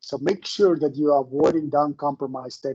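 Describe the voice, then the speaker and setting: A man's fairly high-pitched voice, dark and mellow in tone, with a non-native accent. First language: not English. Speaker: professor. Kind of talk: lecture.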